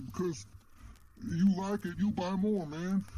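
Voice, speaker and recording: A man performs a put-on character voice. His pitch is high, with ordinary variation. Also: fairly slow pace. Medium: solo performance. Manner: laid-back hippie slang, keeps saying man.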